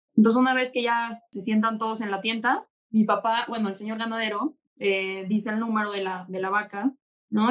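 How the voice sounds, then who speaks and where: A woman speaks fairly quickly in a normal speaking voice, fairly high in pitch, with fairly even intonation. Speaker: bull breeder. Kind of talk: casual chat.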